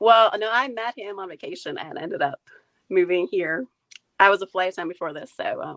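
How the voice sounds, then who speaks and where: A woman's medium-pitched voice with a slight North Carolina accent, at a fairly quick pace, in dry, close sound with no echo. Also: lively intonation, big swings in loudness. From Maine. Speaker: food photographer, stay-at-home mom. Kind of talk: interview. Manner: casual, many fillers.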